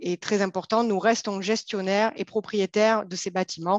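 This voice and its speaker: With a southern French accent, a woman speaks at a moderate pace and medium pitch. The sound is dry and close, with no echo. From southern France. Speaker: company co-founder and CEO. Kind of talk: interview. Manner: formal.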